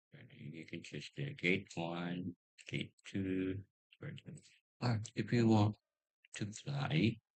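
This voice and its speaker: Very slow and marked by long, frequent pauses, a man's somewhat breathy, fairly low voice comes across dry and close with no echo, with ordinary pitch variation and big swings in loudness. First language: not English. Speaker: YouTuber. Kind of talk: tutorial. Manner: halting.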